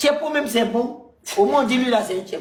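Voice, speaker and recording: A man with an Ivorian accent, extremely high-pitched, with very wide pitch swings, an animated tone and a moderate pace. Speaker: stand-up comedian. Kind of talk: casual chat. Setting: live stream.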